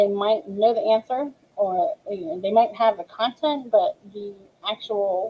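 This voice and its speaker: The voice moves at a fairly slow pace with ordinary pitch variation and big swings in loudness. The sound is dry and close, with no echo. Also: woman, fairly high pitch for a woman. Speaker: ESL teacher. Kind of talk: webinar tutorial. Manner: many filler ums.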